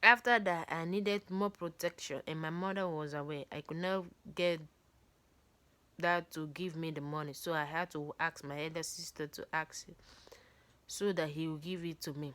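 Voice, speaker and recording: A woman with a non-native accent speaks at a moderate pace. Her tone is bright and sharp, and her intonation is fairly even. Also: fairly low pitch for a woman. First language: not English. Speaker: book reader. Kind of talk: reading aloud.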